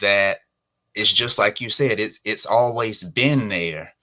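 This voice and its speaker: The speaker is a man with a Southern US accent. His fairly low voice has a bright, sharp tone. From US South. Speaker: entrepreneur. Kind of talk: live podcast interview. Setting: live stream.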